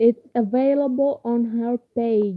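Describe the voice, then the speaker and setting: Lively in intonation, a woman speaks at a very slow pace. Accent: Arabic. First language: Arabic. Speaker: university student and novelist. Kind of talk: informal talk to camera. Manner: halting.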